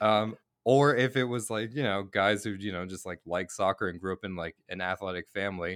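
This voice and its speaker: Heard in a dry, close sound with no echo, a man with an ordinary speaking voice and fairly low pitch talks at a moderate pace with ordinary pitch variation. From Boston then Cape Breton, Nova Scotia. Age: 30s. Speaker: drag artist and comedian. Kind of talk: casual interview. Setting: video call.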